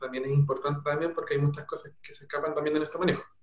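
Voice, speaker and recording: The talking races along very fast. Background noise can be clearly heard. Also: man. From Chile, Peumo area (rural O'Higgins). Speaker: doctor in family medicine training. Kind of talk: interview on live stream.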